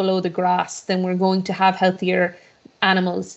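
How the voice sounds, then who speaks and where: A woman's medium-pitched voice in an Irish accent, at a fairly quick pace. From western Ireland (Mayo/Galway), born in Boston. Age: 30s. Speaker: politician. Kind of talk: interview. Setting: video call. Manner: talkative, many repetitions and fillers.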